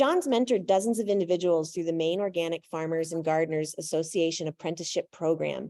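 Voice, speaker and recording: With a dark, mellow tone and a fairly low pitch, a woman talks at a fairly quick pace and ordinary pitch variation, the sound dry and close with no echo against a quiet background. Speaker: event host. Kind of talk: speaker introduction. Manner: loud, projecting without microphone. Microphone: no microphone.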